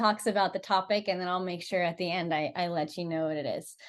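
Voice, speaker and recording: A normal speaking voice goes along at a fairly quick pace. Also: woman, quiet background. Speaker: rally team member hosting a livestream. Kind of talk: casual livestream chat. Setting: social media live video.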